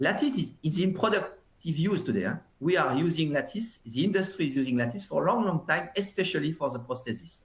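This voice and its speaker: Here a man speaks in a high voice with lively intonation. His pace is very fast. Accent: French. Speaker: software industry consultant, webinar presenter. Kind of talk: webinar presentation. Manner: hesitant, many fillers and repetitions.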